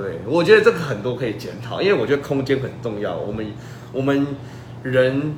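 Room echo can be heard around a man's voice. Background noise is also noticeable. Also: medium pitch for a man, lively intonation. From Taiwan, Changhua. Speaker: political candidate. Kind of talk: interview. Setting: livestream. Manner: halting.

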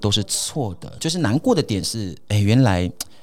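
Speaking at a moderate pace, a man uses a plain, everyday voice at a medium pitch. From Taiwan, Atayal community in Hsinchu mountains. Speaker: radio host. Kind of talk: casual chat.

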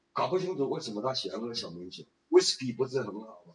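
A man talks at a moderate pace in a plain, everyday voice. His pitch sits in the medium range. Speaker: retired businessman and tour guide. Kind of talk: casual interview.

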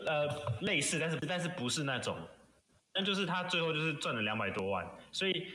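Speaking very fast with a Taiwanese accent, a man has a bright, sharp tone, with audible room echo. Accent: Taiwanese Mandarin. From Taiwan, Pingzhen in Taoyuan. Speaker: guest. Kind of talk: casual chat.

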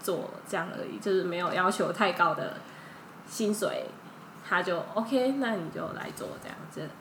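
Over noticeable background noise and audible room echo, a woman at medium pitch talks at a fairly slow pace with ordinary pitch variation and big swings in loudness. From Thailand. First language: Thai (speaking Chinese). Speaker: Thai-Chinese interpreter. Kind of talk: casual interview chat.

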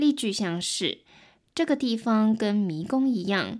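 Very clean and silent in the background, this recording features a woman with a Taiwanese accent. She speaks very slowly with lively intonation. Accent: Taiwanese Mandarin. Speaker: podcast host and Mandarin tutor. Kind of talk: language-learning podcast narration. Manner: clear, slow-paced.

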